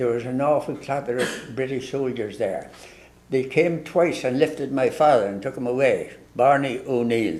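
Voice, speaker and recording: There is audible room echo as a man with an Ulster accent speaks at a moderate pace. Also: medium pitch for a man, ordinary pitch variation. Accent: Ulster Irish. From Ireland, Ulster (Tyrone area). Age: 90s. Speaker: priest. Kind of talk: storytelling in casual interview. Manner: halting.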